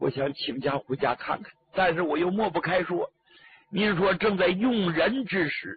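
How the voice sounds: This natural reading voice has lively intonation.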